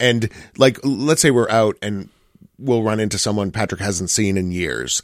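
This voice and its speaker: On a very clean recording with a silent background, a man with an American accent talks at a moderate pace, his fairly low pitch showing ordinary variation. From US Midwest. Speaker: pop music critic. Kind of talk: radio interview, casual chat. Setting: studio.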